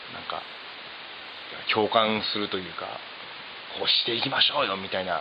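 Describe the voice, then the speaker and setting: A man speaks at a fairly quick pace in a fairly low pitch, with ordinary pitch variation, long and frequent pauses, and noticeable background noise. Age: 30s. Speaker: hairdresser. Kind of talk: casual chat.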